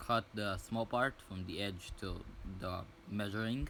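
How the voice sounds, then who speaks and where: Fairly low in pitch, a man speaks at a fairly slow pace. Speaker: DIY fitness video creator. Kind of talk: tutorial. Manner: halting, searching for words.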